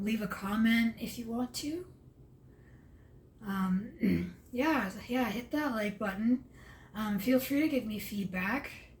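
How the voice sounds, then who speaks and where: A somewhat breathy woman with a fairly high pitch speaks very slowly, with ordinary pitch variation and long, frequent pauses. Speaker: vlogger. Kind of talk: casual vlog monologue. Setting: at home, late at night. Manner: halting, with stumbles and fillers.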